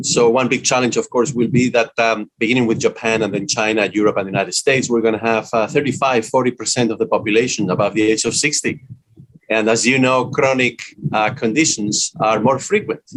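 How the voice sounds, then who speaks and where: Speaking with a Spanish accent at a fairly quick pace, a man keeps his intonation fairly even. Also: medium pitch for a man. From Spain. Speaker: business school dean and author. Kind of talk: interview. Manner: frequent hesitations (uh).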